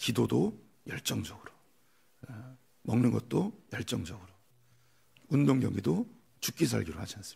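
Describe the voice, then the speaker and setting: A man speaks at a moderate pace with big swings in loudness and long, frequent pauses. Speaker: pastor. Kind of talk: sermon. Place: church. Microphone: podium.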